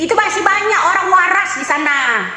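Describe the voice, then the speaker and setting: A raised, projected voice comes through with audible room echo and noticeable background noise. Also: woman. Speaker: political commentator streamer. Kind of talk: political rant. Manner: loud.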